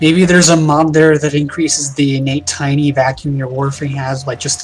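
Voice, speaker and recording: Amid noticeable background noise, a man talks at a fairly quick pace in a fairly high pitch with monotone, flat intonation. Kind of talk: casual livestream discussion.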